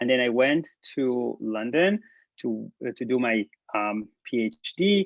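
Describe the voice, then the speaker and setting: A man with an Israeli accent speaks at a medium pitch and a fairly slow pace. His intonation is lively. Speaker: professor. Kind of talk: lecture. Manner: halting, many fillers.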